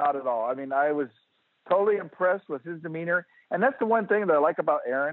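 Speaking with an American accent, a man uses a high pitch. He goes at a very fast pace with lively intonation. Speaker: retired firefighter and fan. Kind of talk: casual interview.

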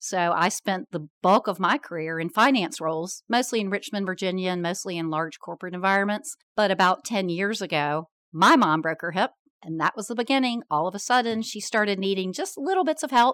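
Here is a woman with an unremarkable speaking voice, medium in pitch, talking at a fairly quick pace with lively intonation. The recording is very clean with a silent background and a dry, close sound with no echo. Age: 50s. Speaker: company founder. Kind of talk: interview.

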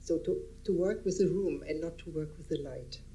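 A woman at a moderate pace with a German accent, plus audible room echo. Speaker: artist photographer. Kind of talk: public talk. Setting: stage with audience. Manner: halting.

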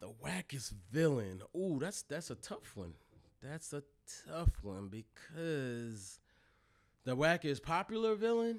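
In a very clean recording with a silent background, a man speaks at a fairly high pitch and a very slow pace. His pitch swings very widely, and so does his loudness. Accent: American. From Delaware, US. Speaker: hip hop journalist and website co-founder. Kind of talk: casual interview.

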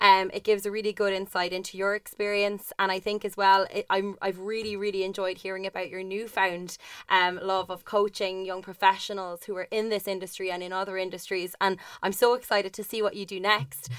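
Speaking with an Irish accent, a woman of medium pitch keeps her intonation monotone and flat. She moves at a fairly quick pace with hardly any pauses. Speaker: podcast co-host. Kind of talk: interview conversation.

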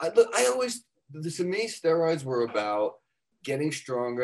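A plain, everyday voice at a moderate pace. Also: man. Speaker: fitness author. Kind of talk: casual interview.

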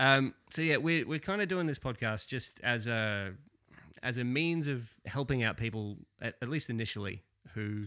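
With an Australian accent, a man speaks at a moderate pace in a bright, sharp tone with lively intonation, in a very clean recording with a silent background. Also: medium pitch for a man. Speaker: podcast host and wargamer. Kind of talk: casual chat podcast.

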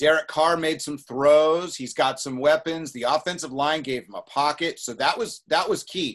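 Speaking at a moderate pace with an unremarkable speaking voice, a man with a fairly high pitch shows big swings in loudness over a quiet background. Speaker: podcast co-host. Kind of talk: casual sports talk podcast.

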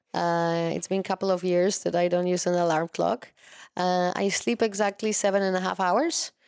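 Fairly even intonation comes through in a Polish accent on a very clean recording with a silent background. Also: woman, medium pitch for a woman, moderate pace. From Poland. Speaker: wellness coach. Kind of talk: interview.

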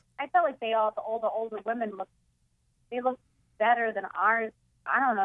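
A woman with a Boston accent speaks at a fairly quick pace and a fairly high pitch. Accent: Boston East Coast. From Boston area, Massachusetts. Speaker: comedian guest. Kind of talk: casual chat.

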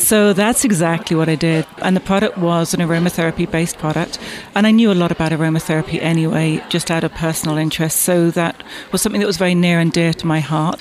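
A woman with a southwest England accent talks at a very fast pace, her pitch fairly low and her intonation fairly even. Her loudness stays very even over noticeable background noise. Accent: English (southwest England, refined). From Bath, southwest England. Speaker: business owner and association president. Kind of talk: casual interview. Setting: event interview.

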